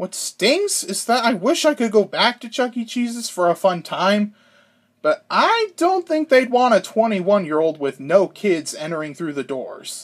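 Talking at a fairly slow pace, a man with a high pitch moves through very wide pitch swings. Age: 20s. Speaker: YouTuber. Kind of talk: scripted narration.

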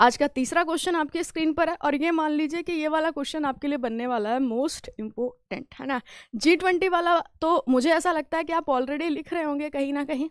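Over a quiet background, a high-pitched woman speaks at a moderate pace with ordinary pitch variation and hardly any pauses, in a dry sound with no echo. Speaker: current affairs teacher; exam prep teacher. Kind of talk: live online class. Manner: halting, words get stuck; animated, conversational. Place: studio. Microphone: headset.

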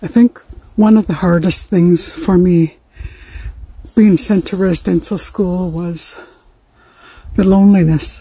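A woman's fairly low, dark, mellow voice with a husky, rough edge, fairly even intonation, a fairly slow pace and long, frequent pauses

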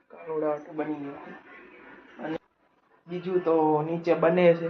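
A man talks at a fairly high pitch with monotone, flat intonation. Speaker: vlogger. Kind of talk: casual vlog narration. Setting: at home.

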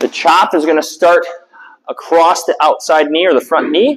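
Against a quiet background, a man speaks at a high pitch. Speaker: fitness coach. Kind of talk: tutorial. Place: gym.

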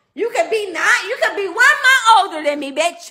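Over a quiet background, a woman uses a raised, projected voice with a bright, sharp tone and very wide pitch swings. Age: 30s. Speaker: live streamer. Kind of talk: heated live stream rant. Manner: animated. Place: home room. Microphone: phone near.

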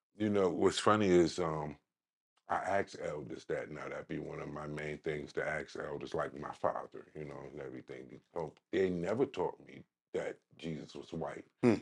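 A man in a New York accent, at a moderate pace, with big swings in loudness. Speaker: podcast host. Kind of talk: interview. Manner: halting, many fillers.

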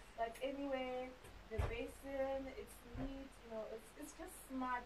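Against noticeable background noise, a woman talks at a high pitch. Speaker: traveler vlogger. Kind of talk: casual vlog chat. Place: home room.

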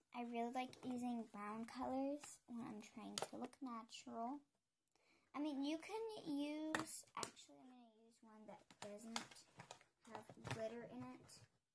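Soft-spoken, a woman talks in a high pitch. Her pitch variation is ordinary. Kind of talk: ASMR makeup tutorial talk to camera.

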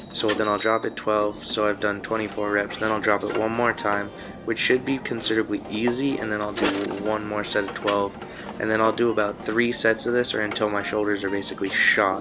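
Speech comes at a fairly quick pace. Noticeable background noise runs underneath. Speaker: fitness vlogger. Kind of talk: voice-over workout explanation.

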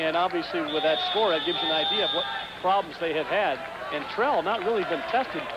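An enthusiastic man against loud background noise, the sound dry with no echo. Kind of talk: live sports commentary, color analysis. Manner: conversational, explanatory, and enthusiastic.

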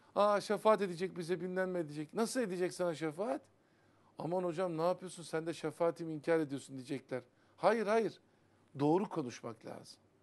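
A man speaks with a high pitch. His pace is moderate and his pitch variation ordinary. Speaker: Sufi religious teacher. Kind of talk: religious TV talk on Sufi poetry. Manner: animated. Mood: earnest, admonishing. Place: studio.

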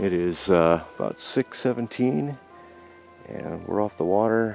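The man's voice sounds dry with no echo, and faint music plays in the background. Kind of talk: casual vlog chat. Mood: relaxed, calm. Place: waterside. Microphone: phone near.

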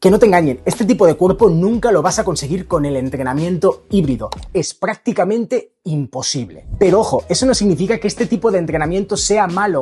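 Dark, mellow tone at a fairly quick pace, with lively intonation. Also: man. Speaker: fitness content creator. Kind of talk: informative fitness commentary. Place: gym. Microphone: lapel.

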